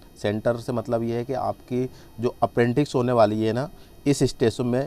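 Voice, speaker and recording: Medium-pitched male voice at a moderate pace over music in the background. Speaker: online tutor for job exams. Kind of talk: tutorial.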